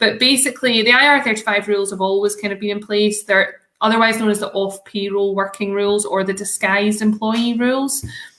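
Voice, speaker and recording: A woman with a fairly high pitch and a bright, sharp tone talks at a fairly quick pace with fairly even intonation. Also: hardly any pauses. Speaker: solicitor, law firm founder. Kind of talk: interview. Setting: live stream. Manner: casual, hesitant with many fillers.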